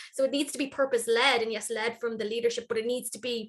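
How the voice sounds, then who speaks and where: A woman's high voice with an Irish accent, very fast and with fairly even intonation. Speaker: workplace wellness consultant. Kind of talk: panel discussion.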